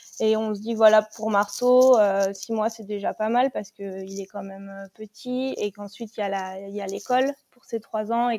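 A woman with a fairly high pitch and a dark, mellow tone speaks at a moderate pace, with a dry, close sound and no echo. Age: 20s. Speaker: mother planning a van trip. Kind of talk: interview. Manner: halting.

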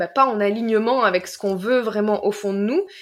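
This woman has a plain, everyday voice. Her pitch sits fairly high. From southern France, Marseille. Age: 20s. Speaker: life coach. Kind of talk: casual chat.

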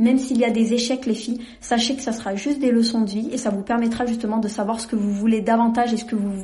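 A woman at a fairly high pitch with monotone, flat intonation and a fairly quick pace, with audible room echo and noticeable background noise. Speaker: podcast host. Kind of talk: casual monologue.

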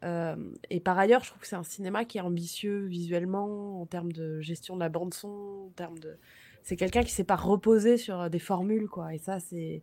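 Woman at medium pitch and moderate pace, dark and mellow in tone, with fairly even intonation and big swings in loudness. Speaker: podcast panelist, film discussion. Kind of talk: casual film discussion.

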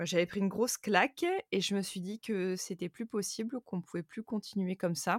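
Ordinary pitch variation in a dry, close sound with no echo, on a very clean recording with a silent background. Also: woman. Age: 30s. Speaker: content creator and podcaster. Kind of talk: interview testimony. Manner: hesitant, many fillers.

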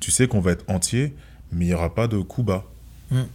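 A man with a dark, mellow tone talks at a fairly quick pace, his pitch moving in an ordinary way. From France. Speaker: former kickboxing champion and entrepreneur. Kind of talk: interview. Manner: soft-spoken.

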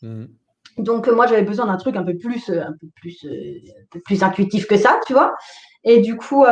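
An unremarkable speaking voice from a woman, fairly high in pitch, at a fairly quick pace. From Alsace, France. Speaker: tarot teacher and online entrepreneur. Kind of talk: interview.

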